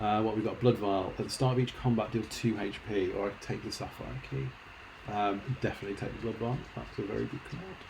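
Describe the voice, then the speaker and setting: A man's fairly low voice with vocal fry and a fairly quick pace, in audible room echo. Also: ordinary pitch variation. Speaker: video game streamer. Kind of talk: live gameplay commentary. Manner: casual, chatty.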